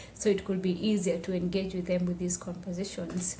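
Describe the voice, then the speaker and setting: The room's echo is audible as a woman speaks at a moderate speed. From Tanzania, Maasai village on Kilimanjaro slopes. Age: 20s. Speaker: activist and public health student. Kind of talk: podcast interview, personal testimony. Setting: podcast interview.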